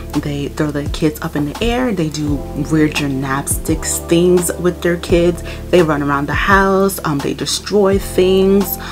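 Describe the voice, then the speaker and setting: A woman speaks with ordinary pitch variation. Clear music plays in the background. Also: fairly low pitch for a woman. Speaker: mom vlogger. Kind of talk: casual talk to camera. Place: home room.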